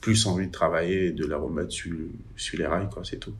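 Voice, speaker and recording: Speaking at a fairly quick pace, a man with a very deep, low voice is heard with audible room echo. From Benin. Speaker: workshop manager. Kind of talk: testimony. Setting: remote line. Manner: halting.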